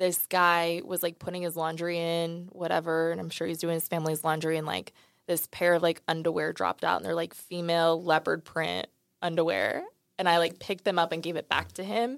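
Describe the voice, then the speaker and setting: With a normal speaking voice, a woman in an American accent talks at a fairly quick pace and fairly low pitch with fairly even intonation, in a very clean recording with a silent background. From Dallas, Texas. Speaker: company people and culture director. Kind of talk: casual interview chat. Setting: studio.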